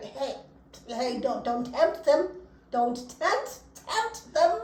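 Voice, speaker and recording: Noticeable background noise sits behind a woman whose high-pitched voice has lively intonation. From South Africa. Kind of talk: casual podcast conversation.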